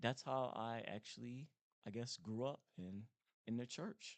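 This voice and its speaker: An ordinary speaking voice from a man, medium in pitch, fairly slow, with ordinary pitch variation. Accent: American. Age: 40s. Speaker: podcast guest. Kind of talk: casual interview.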